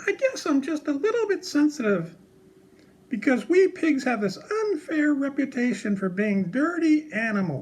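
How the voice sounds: A man puts on a cartoonish character voice, pitched extremely high with big pitch swings, and speaks at a fairly slow pace.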